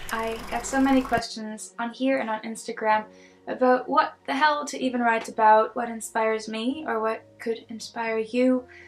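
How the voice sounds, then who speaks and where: With noticeable noise behind her, a woman talks at a moderate pace in a fairly high pitch, her intonation fairly even. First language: not English. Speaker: singer-songwriter and video creator. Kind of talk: scripted tutorial talk. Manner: hesitant fillers.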